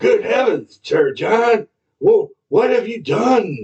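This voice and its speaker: A man's put-on character voice, raspy and extremely high-pitched, at a very slow pace. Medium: read story. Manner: smooth, falsely earnest.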